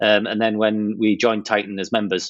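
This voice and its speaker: A man with a British accent talks at a fairly quick pace in a fairly low pitch. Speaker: online seller. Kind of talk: podcast interview.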